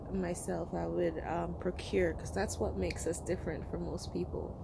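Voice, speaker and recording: Moderate-paced speech from a woman amid noticeable background noise. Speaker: homesteader vlogger. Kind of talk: casual vlog chat. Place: garden. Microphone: phone near.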